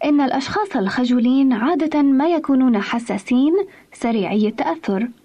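With noticeable background noise behind her, a woman speaks at a fairly slow pace in a high pitch with lively intonation. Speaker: radio program presenter. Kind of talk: scripted radio talk on parenting. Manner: formal.

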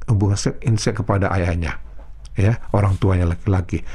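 Very fast and somewhat breathy, a man's dark, mellow voice moves through very wide pitch swings. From North Sumatra, Indonesia. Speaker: pastor. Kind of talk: sermon.

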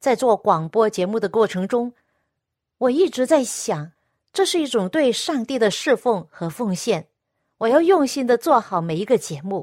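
On a very clean recording with a silent background and a dry, close sound with no echo, a woman speaks at a fairly high pitch with very wide pitch swings. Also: moderate pace. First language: Cantonese (speaking Chinese). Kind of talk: radio devotional talk.

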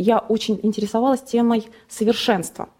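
A fairly high-pitched woman's voice, an unremarkable speaking voice. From Russia, Nizhny Novgorod region. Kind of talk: testimony. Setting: studio.

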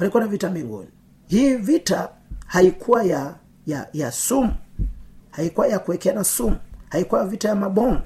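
A man speaks with lively intonation at a high pitch. He leaves long, frequent pauses. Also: moderate pace. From Tanzania, Pwani region. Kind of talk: sermon.

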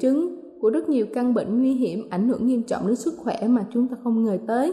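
High-pitched woman with lively intonation, noticeable background noise behind her. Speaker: radio presenter. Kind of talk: news reading. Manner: formal.

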